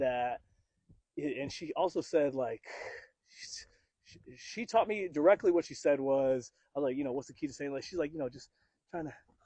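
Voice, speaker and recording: A man talks at a moderate pace in a dark, mellow tone, with fairly high pitch and ordinary pitch variation. Long, frequent pauses and big swings in loudness mark his delivery. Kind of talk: podcast conversation. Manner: casual, rambling.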